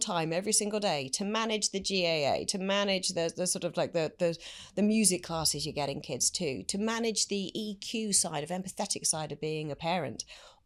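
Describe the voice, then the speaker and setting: A woman with a slight British accent, medium pitch and lively intonation, on a very clean recording with a silent background. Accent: slight UK. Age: 50s. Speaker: business executive. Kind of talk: interview.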